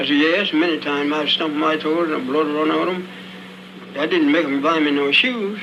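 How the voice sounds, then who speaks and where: Over noticeable background noise, a man talks at a fairly quick pace with a fairly high pitch and ordinary pitch variation. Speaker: formerly enslaved person recorded in an oral-history interview. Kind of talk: archival oral-history interview recording. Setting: old crackly archival recording.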